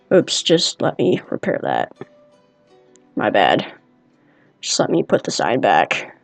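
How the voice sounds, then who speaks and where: The speech moves at a very slow pace with long, frequent pauses, and music plays in the background. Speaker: gamer. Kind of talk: gameplay walkthrough commentary. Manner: casual, hesitant.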